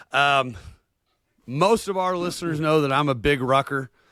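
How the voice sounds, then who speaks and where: With a Southern US accent and a bright, sharp tone, a man speaks at a moderate pace in a fairly high pitch with ordinary pitch variation. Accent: Southern American. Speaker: podcast co-host. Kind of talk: interview. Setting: podcast.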